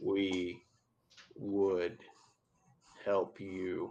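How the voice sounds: This is a man doing a put-on character voice. It is booming and fairly low in pitch.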